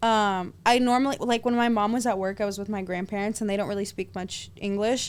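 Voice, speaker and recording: On a very clean recording with a silent background, a woman of medium pitch speaks at a fairly quick pace with fairly even intonation and hardly any pauses. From Los Angeles, US, Russian-speaking family; teen years in Israel. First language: Russian. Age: 20s. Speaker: adult film actress. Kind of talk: casual chat.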